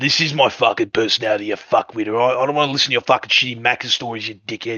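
A raspy, put-on character voice at a very fast pace with fairly even intonation. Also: man, medium pitch for a man. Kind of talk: crude, casual. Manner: aggressive, rude, swearing.

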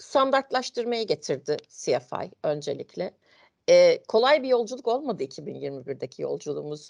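A woman's very slow speech, dry and close with no echo, with big swings in loudness. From Turkey, Ankara. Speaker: internal control manager. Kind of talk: interview. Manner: hesitant, many fillers.

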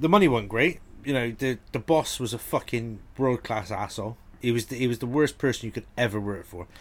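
A man with a Brummie accent at medium pitch, ordinary pitch variation and a fairly quick pace. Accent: Brummy (Birmingham). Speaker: podcast host. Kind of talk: casual chat.

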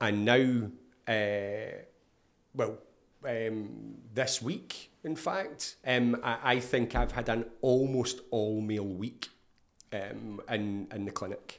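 The speaker has a Scottish accent. The pace is very slow. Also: man, medium pitch for a man, ordinary pitch variation. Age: 50s. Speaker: therapist. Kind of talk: casual interview.

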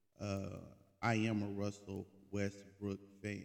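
A man speaks in an American accent at a fairly low pitch. His delivery is monotone, with flat intonation. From Oklahoma City, Oklahoma. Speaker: sports podcast host. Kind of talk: casual solo monologue. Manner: casual, filler-heavy slang.

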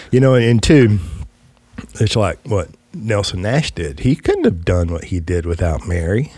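Speaking at a fairly slow pace in a Southern US accent, a man with a fairly low pitch sounds somewhat breathy, dark and mellow, with lively intonation. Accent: Southern US drawl. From West Texas. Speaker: podcast host, financial agent. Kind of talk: casual chat. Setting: studio.

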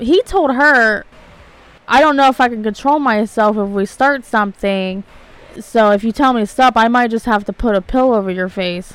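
At a moderate speed, a woman with an unremarkable speaking voice talks fairly high in pitch, her pitch varying in a normal way. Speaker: podcast co-host. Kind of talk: casual chat.

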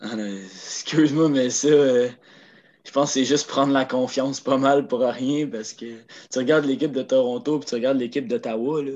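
Against a quiet background, a man speaks in an unremarkable speaking voice, at medium pitch and moderate pace with ordinary pitch variation. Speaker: hockey podcast co-host. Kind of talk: casual chat.

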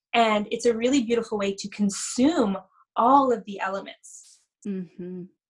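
In a Canadian accent, the voice sounds somewhat breathy and shows ordinary pitch variation. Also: woman. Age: 30s. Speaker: spiritual energy healer. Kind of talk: casual interview chat.

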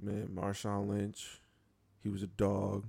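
A somewhat breathy man with an American accent, fairly low in pitch, flat and monotone, at a very slow pace. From Buffalo, New York. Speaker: sports podcast co-host. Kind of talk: casual chat.

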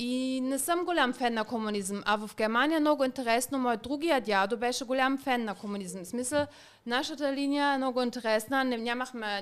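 Her pitch is high for a woman. The woman's voice rises and falls with ordinary variation. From eastern Germany. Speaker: model and podcast co-host. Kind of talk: casual chat.

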